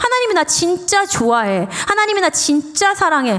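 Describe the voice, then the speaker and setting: A woman's extremely high voice, animated in tone, with very wide pitch swings over noticeable background noise. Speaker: pastor's wife, guest preacher. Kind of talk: sermon. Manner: casual.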